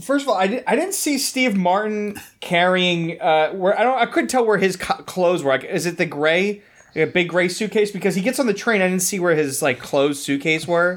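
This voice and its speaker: A man with a high pitch and lively intonation, fairly quick with hardly any pauses, very even in loudness, on a very clean recording with a silent background. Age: 30s. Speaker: podcaster. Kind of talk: casual chat.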